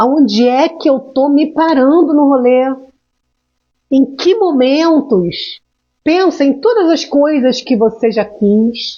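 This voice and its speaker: Her pitch is high and her intonation lively as this woman speaks very slowly. Her loudness stays very even. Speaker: emotional intelligence mentor. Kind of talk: live stream talk. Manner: animated.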